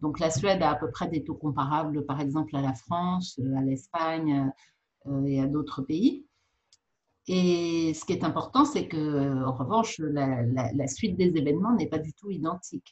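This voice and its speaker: Her voice is very deep and low for a woman and somewhat breathy. She talks at a fairly slow pace with ordinary pitch variation. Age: 60s. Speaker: physician. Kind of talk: interview. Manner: halting, frequent repetitions.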